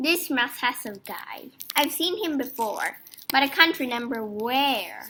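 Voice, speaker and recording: A woman uses a put-on character voice with a high pitch. She goes at a fairly slow pace. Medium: read story. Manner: loud, brash.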